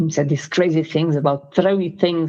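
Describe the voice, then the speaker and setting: A woman's very deep, low voice with a dark, mellow tone, fairly even intonation and a moderate pace. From Portugal. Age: 60s. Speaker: freediving athlete and coach. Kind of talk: interview.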